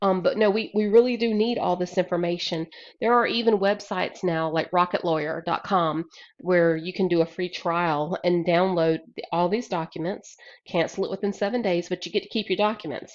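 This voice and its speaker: At a fairly quick pace, a woman speaks in a medium pitch with ordinary pitch variation. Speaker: college instructor. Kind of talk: recorded lecture. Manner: fast; animated.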